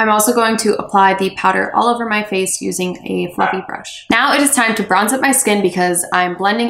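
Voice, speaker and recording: A woman whose pitch varies in an ordinary way talks at a moderate pace with noticeable background noise around her. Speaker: beauty blogger. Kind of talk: makeup tutorial voiceover.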